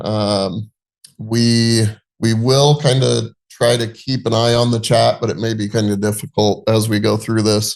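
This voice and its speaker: At a fairly slow pace, a man talks in a monotone, flat way. His pitch sits at a medium level. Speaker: real estate agent. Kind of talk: webinar presentation. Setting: video call. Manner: casual, hesitant with many fillers.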